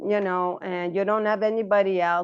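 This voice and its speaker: A woman talks in an unremarkable speaking voice over a quiet background. Her pitch is medium and her pace moderate. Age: 60s. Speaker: nutrition consultant and podcast host. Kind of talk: casual chat.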